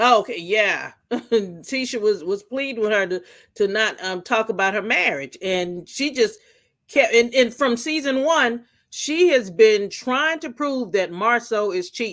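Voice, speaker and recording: An unremarkable speaking voice moves at a fairly slow pace with lively intonation. The recording is very clean, with a silent background. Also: woman, fairly high pitch for a woman. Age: 50s. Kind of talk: casual chat.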